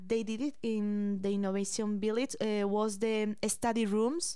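A woman with a Spanish accent, fairly high in pitch, at a moderate pace. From Spain. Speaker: podcast host, college student. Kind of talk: casual chat. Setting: studio.

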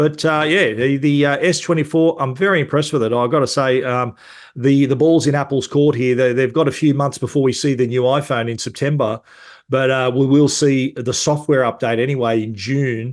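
A man talks at a fairly quick pace with an Australian accent. His intonation stays fairly even over a quiet background. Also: medium pitch for a man. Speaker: tech journalist. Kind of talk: casual chat.

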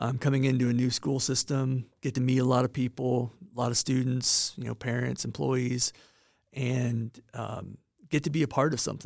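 Monotone, flat intonation at a moderate pace, in a Midwestern American accent. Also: man, medium pitch for a man. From northern Indiana. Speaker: school superintendent. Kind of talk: interview. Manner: halting, many fillers.

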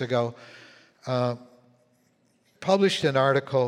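Talking at a fairly slow pace, a man with a Canadian accent uses an ordinary speaking voice pitched fairly high. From Canada, prairies (Winnipeg). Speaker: pastor. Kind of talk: sermon.

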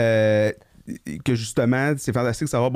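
In a plain, everyday voice, a man speaks at a fairly quick pace with medium pitch and ordinary pitch variation, the sound dry and close with no echo. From Quebec, Gatineau. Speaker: podcast co-host, veterinarian. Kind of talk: casual chat. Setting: studio.

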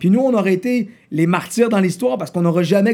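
At a fairly quick pace, a man with a high pitch and a dark, mellow tone speaks with lively intonation. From Quebec City south shore, Canada. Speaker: rapper. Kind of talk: casual interview.

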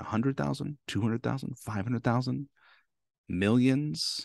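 The sound is dry and close with no echo, over a quiet background. A man of medium pitch speaks with lively intonation in a plain, everyday voice. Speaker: motivational speaker. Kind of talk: podcast interview, casual chat.

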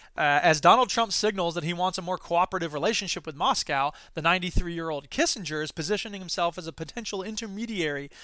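A man's high, bright, sharp voice at a very fast pace, with ordinary pitch variation, on a very clean recording with a silent background. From US Midwest. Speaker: podcast host and educator. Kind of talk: solo monologue podcast. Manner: fast talker; loud, animated.

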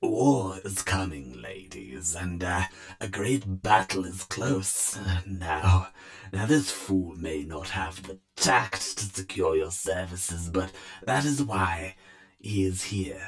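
A man's put-on character voice, creaky and wheezy, very deep and low, at a very slow pace. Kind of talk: grimdark horror reading. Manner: sly, scheming, fawning.

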